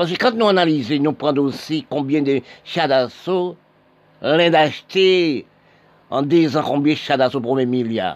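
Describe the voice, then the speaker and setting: A man talks in a normal speaking voice with a fairly high pitch and ordinary pitch variation. His pace is fairly slow, and the background is quiet. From Haiti. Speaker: political commentator. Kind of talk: monologue.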